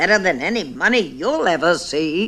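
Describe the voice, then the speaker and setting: In a put-on character voice, the speaker sounds croaky, with a middle pitch and a moderate pace. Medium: read story.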